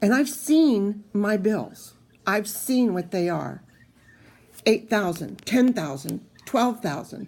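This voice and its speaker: A woman's medium-pitched, somewhat breathy voice at a very slow pace, broken by long, frequent pauses. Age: 60s. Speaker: cancer patient vlogger. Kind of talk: personal video diary.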